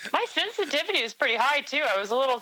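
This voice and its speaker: A woman speaks loudly with a bright, sharp tone. Her pitch swings very widely. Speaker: gaming alliance admiral. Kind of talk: casual panel chat.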